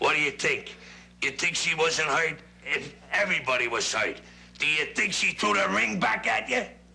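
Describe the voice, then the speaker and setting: A man speaks in a put-on character voice pitched fairly high. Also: moderate pace. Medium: short film. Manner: gruff, blunt.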